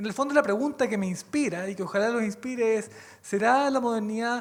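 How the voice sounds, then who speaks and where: Speech comes at a fairly quick pace with a Chilean accent. Noticeable background noise sits behind it. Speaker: lawyer, university researcher, panelist. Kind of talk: conference panel talk.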